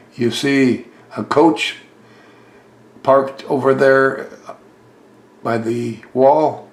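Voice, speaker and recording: Noticeable background noise runs behind this man's voice. He speaks at a medium pitch in a monotone, flat intonation. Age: 90s. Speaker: model railroad hobbyist. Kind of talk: video tour narration.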